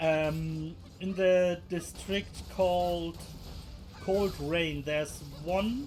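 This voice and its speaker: With a German accent, a man talks at a very slow pace, leaving long, frequent pauses. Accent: German accent noticeable. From Germany. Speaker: gaming video creator. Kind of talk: gameplay tutorial. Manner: halting, many fillers.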